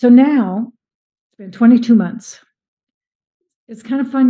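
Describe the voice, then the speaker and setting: A woman speaks in a somewhat breathy voice. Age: 70s. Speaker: product testimonial giver. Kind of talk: testimony. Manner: animated.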